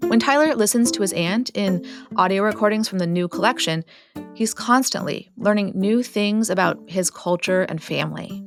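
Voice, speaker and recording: Over music in the background, a woman speaks at a moderate pace with lively intonation. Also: medium pitch for a woman. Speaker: podcast host. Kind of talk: podcast narration.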